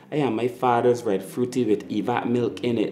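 With a Barbadian accent, a man speaks at a moderate pace in a dark, mellow tone against light background noise. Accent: Barbadian (Bajan). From Barbados. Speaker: spoken word poet. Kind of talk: spoken word poetry performance. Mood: proud, nostalgic, warm.

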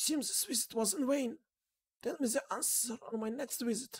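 A female-sounding voice, put on as a character, speaks at a moderate pace and a high pitch.

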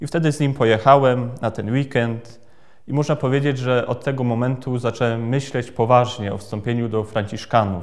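The voice is a plain, everyday voice with fairly even intonation, moving at a moderate pace. The background is quiet. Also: man, medium pitch for a man. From Poland, Greater Poland (Krzywiń); Greater Poland. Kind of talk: personal testimony. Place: church.

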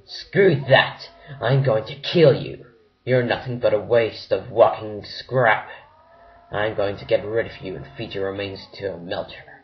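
A man's medium-pitched voice at a moderate pace. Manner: angry, shouting.

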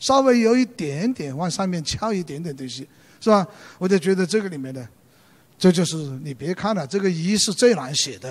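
A man with a high pitch speaks at a moderate pace, his pitch swinging very widely. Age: 70s. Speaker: calligrapher and retired book editor; lecturer. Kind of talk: lecture. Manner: hesitant, many fillers. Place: stage. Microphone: handheld.

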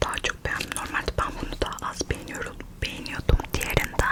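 A woman whispers in a playful tone. She keeps a moderate pace over noticeable background noise. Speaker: ASMR creator. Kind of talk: ASMR chocolate tasting mukbang, casual talk to camera. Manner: soft, friendly, playful.

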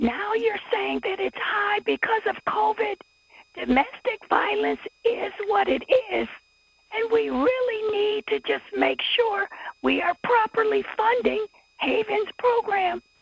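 A woman speaks at a very slow pace, the sound dry with no echo and faint music in the background. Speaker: public commenter at city council. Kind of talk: public comment. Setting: city council meeting. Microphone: video call.

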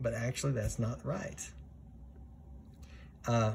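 A man's voice with vocal fry over light background noise. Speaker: flight instructor. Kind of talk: tutorial.

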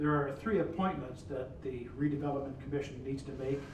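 A man's voice carries audible room echo, with noticeable background noise around it. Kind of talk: formal meeting procedure. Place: meeting room.

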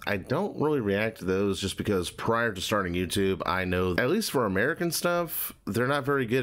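A man's fairly low-pitched voice moves along at a moderate pace. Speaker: reaction youtuber. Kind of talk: casual reaction commentary. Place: home room.

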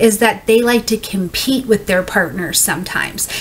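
Moderate pace and lively intonation from a woman. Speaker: astrology reader. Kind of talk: casual explainer talk. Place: home room.

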